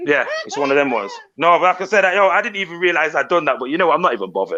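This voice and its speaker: Very fast and loud, a man talks in a fairly high voice with a bright, sharp tone, vocal fry and very wide pitch swings, over a quiet background. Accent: British. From Britain. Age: 30s. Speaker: YouTuber. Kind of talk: casual chat.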